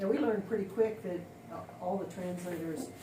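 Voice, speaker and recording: Speaking at a moderate pace with ordinary pitch variation, a woman talks with an American accent. The room echo is audible, and there is noticeable background noise. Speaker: missionary. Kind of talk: casual chat. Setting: kitchen while cutting tomatoes.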